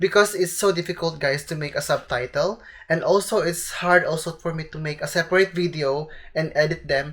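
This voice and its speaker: A woman with a Filipino accent talks at a fairly quick pace in a fairly low pitch, her intonation fairly even. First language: Tagalog. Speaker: vlogger. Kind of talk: vlog explainer.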